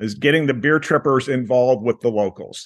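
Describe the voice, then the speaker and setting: This is a plain, everyday voice. It keeps a moderate pace with ordinary pitch variation. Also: man. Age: 60s. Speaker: beer travel tour operator. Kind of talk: interview.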